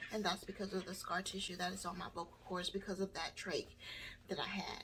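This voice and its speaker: A woman with a somewhat breathy voice talks at a fairly quick pace. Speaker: burn survivor vlogger. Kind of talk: personal testimony. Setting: home video by a window. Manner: halting.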